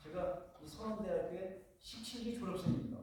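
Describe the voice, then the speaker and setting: Speaking at a moderate pace, a man is heard through audible room echo and noticeable background noise. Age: 60s. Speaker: retired police officer, guest lecturer. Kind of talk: lecture. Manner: halting.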